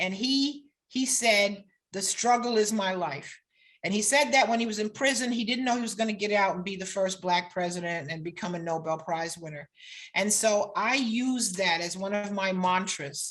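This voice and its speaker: Her voice is a plain, everyday voice, medium in pitch, with an American accent. The woman keeps a moderate pace and ordinary pitch variation. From New York / New Jersey area. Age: 60s. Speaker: law professor. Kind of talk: lecture.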